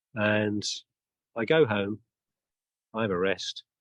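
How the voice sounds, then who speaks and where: A man with a British accent speaks at a fairly slow pace in a dry, close sound with no echo. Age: 60s. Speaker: interviewer, charity walker. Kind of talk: interview. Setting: outdoors.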